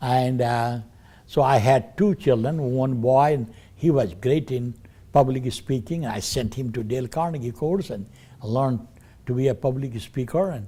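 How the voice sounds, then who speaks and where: This man speaks at a moderate pace and medium pitch, his somewhat breathy voice dark and mellow in tone, with ordinary pitch variation. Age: 80s+. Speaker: business owner. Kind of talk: testimony. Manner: halting.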